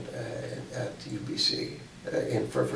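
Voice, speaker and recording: A man speaks with a Western Canadian accent. Noticeable background noise runs behind him. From British Columbia, Canada. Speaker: poet and scholar. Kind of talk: interview answer.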